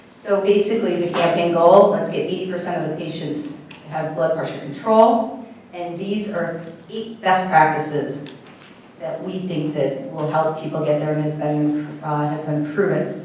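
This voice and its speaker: Amid noticeable background noise and audible room echo, a woman speaks at a moderate pace. Her pitch is fairly low, and her loudness swings widely. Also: ordinary pitch variation. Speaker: physician presenting at a medical meeting. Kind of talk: conference presentation. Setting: meeting room with microphone.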